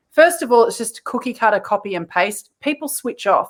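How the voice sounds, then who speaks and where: Speaking at a moderate pace, a woman with an Australian accent has a high pitch and lively intonation. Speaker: content marketing coach. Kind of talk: podcast interview.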